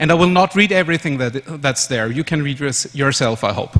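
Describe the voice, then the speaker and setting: A man speaks in a German accent with lively intonation. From Austria, Vienna. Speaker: conference speaker. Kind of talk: conference presentation.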